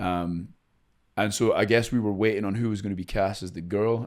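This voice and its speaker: Fairly low in pitch with fairly even intonation, a man speaks on a very clean recording with a silent background. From Scotland. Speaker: actor and country singer. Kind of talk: podcast interview. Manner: casual, many fillers and restarts.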